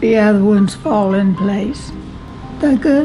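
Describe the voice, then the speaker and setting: A woman at a medium pitch talks while music plays in the background. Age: 80s+. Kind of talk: interview answer.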